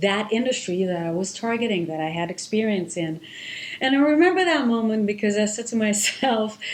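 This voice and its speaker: Speaking in an Israeli accent, a woman with a medium pitch talks at a fairly quick pace with lively intonation, amid noticeable background noise and audible room echo. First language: Hebrew. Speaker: marketing executive. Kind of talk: interview, personal story. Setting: podcast.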